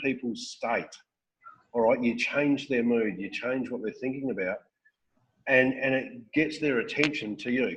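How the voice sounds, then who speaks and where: A man with an Australian accent speaks at a fairly slow pace. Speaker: network marketing recruiter and trainer; trainer. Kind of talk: training talk on a call. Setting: phone call. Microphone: webcam.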